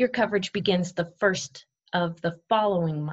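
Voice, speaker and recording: Against a quiet background, a woman's voice comes through somewhat breathy. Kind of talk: tutorial. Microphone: webcam.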